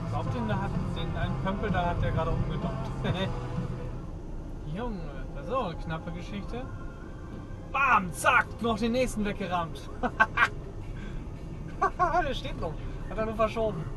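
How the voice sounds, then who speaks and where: A moderate pace with long, frequent pauses, and clear music in the background. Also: man. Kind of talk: live driving commentary. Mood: amused, excited. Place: car. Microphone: camera far.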